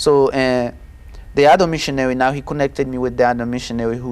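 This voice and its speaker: This man talks very fast with a Haitian accent. His pitch sits in the medium range, and its variation is ordinary. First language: Haitian Creole. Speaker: testimony guest. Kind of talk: testimony interview. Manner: halting.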